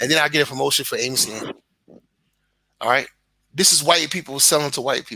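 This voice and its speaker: Animated and bright, with a sharp tone, a man with a Brooklyn accent talks at a fairly high pitch with ordinary pitch variation, big swings in loudness, and long, frequent pauses. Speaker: content creator. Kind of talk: casual chat. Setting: live stream.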